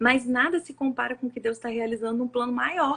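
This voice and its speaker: This woman's voice sits at a fairly high pitch. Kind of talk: sermon-style live talk. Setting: live stream with co-host. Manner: fast.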